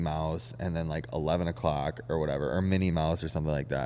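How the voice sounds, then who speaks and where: A man at a fairly quick pace, with vocal fry. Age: 30s. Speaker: podcast host. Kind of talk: casual chat.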